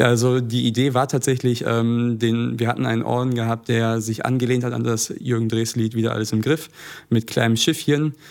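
His pitch is medium and his intonation monotone and flat. The man talks at a moderate pace. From Essen, Ruhr area, Germany. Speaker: carnival club president, student. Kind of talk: casual interview.

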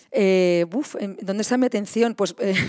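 This is a woman at a medium pitch. Her pitch variation is ordinary. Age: 40s. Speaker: founder of a creative podcast studio. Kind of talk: interview conversation. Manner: halting, many repetitions.

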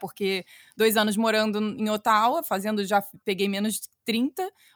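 A normal speaking voice at a moderate pace. The very clean recording is dry and close, with no echo and a silent background. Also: woman. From Brazil, Rio de Janeiro. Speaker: children's storytelling podcaster. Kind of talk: casual interview chat.

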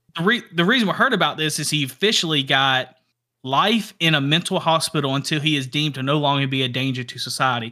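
Speaking at a very fast pace, a man uses a fairly high pitch. His pitch variation is ordinary. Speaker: podcast host. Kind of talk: casual chat. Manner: animated, enthusiastic.

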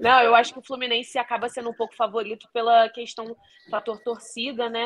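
With a strong Rio de Janeiro accent, a woman talks at a fairly quick pace. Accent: strong carioca. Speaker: sports reporter. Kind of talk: field report. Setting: remote link from hotel.

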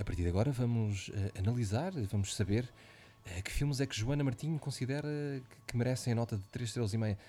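Someone with a European Portuguese accent speaks at a fairly quick pace with ordinary pitch variation. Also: man, medium pitch for a man. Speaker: podcast host. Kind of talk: casual chat. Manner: animated.

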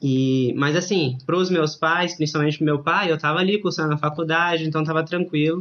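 An unremarkable speaking voice moves at a fairly quick pace with hardly any pauses. The intonation is fairly even and the loudness very even. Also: man, fairly high pitch for a man. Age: 30s. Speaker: ballroom dance teacher. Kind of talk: casual interview.

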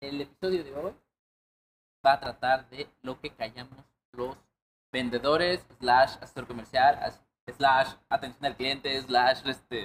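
The speech moves at a fairly slow pace. Long, frequent pauses occur. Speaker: motorcycle salesman and podcast host. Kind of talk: casual chat. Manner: improvised.

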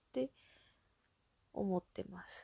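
Very slow and relaxed in tone, a woman speaks in a medium pitch with a dark, mellow, somewhat breathy voice and a dry, close sound with no echo. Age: 30s. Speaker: solo podcaster. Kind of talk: casual monologue. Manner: relaxed, frequent filler うん.

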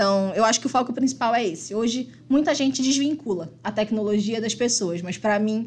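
A woman's somewhat breathy, fairly high-pitched voice at a moderate pace, with ordinary pitch variation. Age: 30s. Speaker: community team member. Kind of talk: casual chat.

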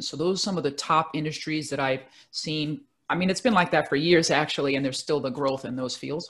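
A woman with a New York accent, a very deep, low pitch, ordinary pitch variation and a moderate pace. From Brooklyn, New York. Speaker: career coach. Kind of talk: interview.

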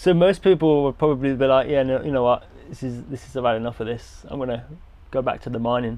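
This man talks very fast with an English accent, his medium pitch showing ordinary variation. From England. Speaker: podcast host and touring cyclist. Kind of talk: casual interview. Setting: outdoors. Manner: hesitant, many fillers.

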